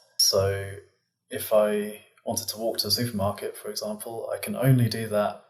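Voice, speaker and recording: This man has a British accent. He talks at a moderate pace. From England. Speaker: physicist. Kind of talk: interview.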